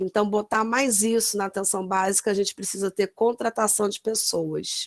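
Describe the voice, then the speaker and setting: Medium pitch and an unremarkable speaking voice from a woman at a moderate pace, in dry, close sound with no echo. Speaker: nurse. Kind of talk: lecture.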